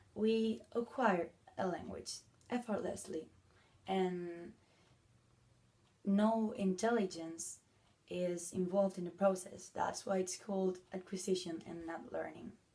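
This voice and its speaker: A woman with a Spanish accent and a dark, mellow tone speaks at a fairly slow pace with fairly even intonation and long, frequent pauses. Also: medium pitch for a woman. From Spain. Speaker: language video blogger. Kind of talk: educational talk. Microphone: phone near.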